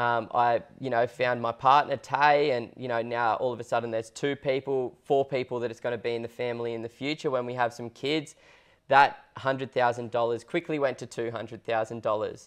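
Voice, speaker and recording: A man with an Australian accent, medium pitch, monotone, flat intonation and a moderate pace, over a quiet background. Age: 20s. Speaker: property investment podcast co-host, buyer's agent; property investment podcast co-host. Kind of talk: casual chat. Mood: relaxed, earnest. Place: studio. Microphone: lapel.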